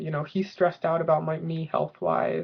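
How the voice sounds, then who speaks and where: The speech is mumbled and comes at a fairly quick pace. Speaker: video blogger. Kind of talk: personal video diary. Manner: mumbling.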